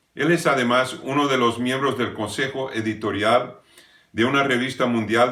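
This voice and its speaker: A man talks at a fairly slow pace in a medium pitch. His intonation stays fairly even. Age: 60s. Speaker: preacher. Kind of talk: sermon. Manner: halting.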